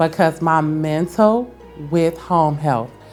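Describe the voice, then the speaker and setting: This woman talks at a very deep, low pitch while music plays behind her. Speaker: interview guest, staffing agency founder.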